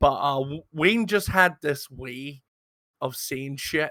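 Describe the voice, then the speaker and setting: In a very clean recording with a silent background, a man with a Scottish accent speaks at a fairly slow pace. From Scotland. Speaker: roleplay gaming podcast host. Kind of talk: casual chat. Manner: halting, many fillers and repeats.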